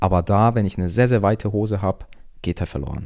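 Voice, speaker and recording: A dark, mellow tone at a fairly quick pace. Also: man. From Germany, Augsburg (Bavarian Swabia). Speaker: fashion enthusiast. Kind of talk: casual chat.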